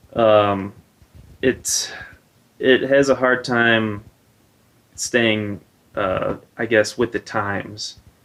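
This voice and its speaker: In a slight Wisconsin accent, a man speaks at a medium pitch in a monotone, flat way, very slowly and with long, frequent pauses, on a very clean recording with a silent background. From Wisconsin, Milwaukee. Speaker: air force service member. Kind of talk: street interview. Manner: halting.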